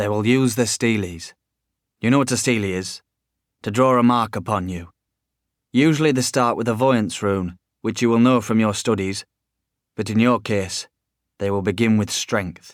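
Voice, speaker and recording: A gruff, put-on character voice moves at a moderate pace with long, frequent pauses. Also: man, medium pitch for a man. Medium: read story.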